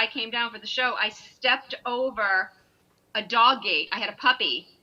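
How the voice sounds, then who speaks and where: With a New York accent, a woman speaks in a raised, projected voice at a high pitch. Her tone is bright and sharp, and her pace is moderate. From Long Island, New York. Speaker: singer in a performing group. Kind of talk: casual chat.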